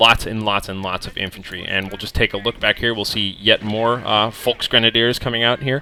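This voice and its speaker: In an American accent, a man speaks at a medium pitch and a moderate pace with monotone, flat intonation, the sound dry and close with no echo. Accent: American, says he mispronounces German words. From United States. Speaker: video game commentator. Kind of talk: game replay commentary. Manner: casual, filler-heavy.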